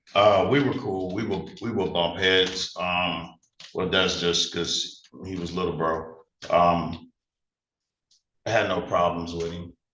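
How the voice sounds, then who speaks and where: The delivery is very slow, with long, frequent pauses and fairly even intonation. The tone is bright and sharp, with audible room echo. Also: man, very deep, low pitch for a man. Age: 50s. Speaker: trial witness. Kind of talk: court testimony. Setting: courtroom. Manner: halting.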